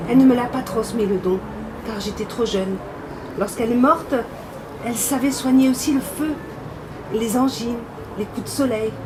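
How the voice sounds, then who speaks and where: A woman's high voice in a Languedoc accent, at a moderate pace with ordinary pitch variation and long, frequent pauses, with audible room echo and noticeable background noise. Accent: southern French (Carcassonne). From southern France, Carcassonne. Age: 60s. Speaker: interviewee telling her life story. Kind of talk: personal testimony.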